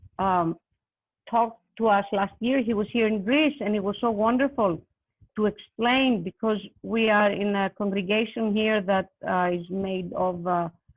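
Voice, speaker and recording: This speaker, with a non-native accent, talks at a moderate pace using ordinary pitch variation. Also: woman, medium pitch for a woman. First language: not English. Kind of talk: panel discussion. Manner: halting, many fillers.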